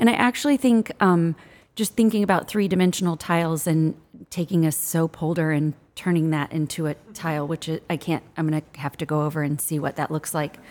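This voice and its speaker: Fairly quick and fairly low-pitched, a woman with an American accent has a plain, everyday voice with ordinary pitch variation. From US Midwest. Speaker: interior designer. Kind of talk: casual chat. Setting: showroom.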